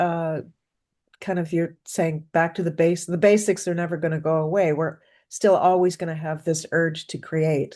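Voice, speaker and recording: Against a quiet background, a woman speaks at a fairly slow pace in a fairly low pitch with a dark, mellow tone. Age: 60s. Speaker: interviewer. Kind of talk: interview. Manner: halting.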